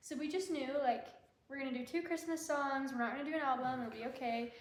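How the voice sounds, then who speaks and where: A woman's high-pitched voice with an American accent, very fast pace, ordinary pitch variation and audible room echo. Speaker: singer. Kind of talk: casual chat. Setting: live stream.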